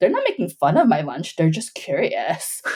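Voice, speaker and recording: A woman's dark, mellow voice with an American accent. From Bolivia, then US from age five. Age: 40s. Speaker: filmmaker. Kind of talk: casual chat.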